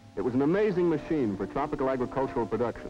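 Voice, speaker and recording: A man's fairly high pitch at a very fast pace, with music in the background. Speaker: narrator. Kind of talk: documentary narration.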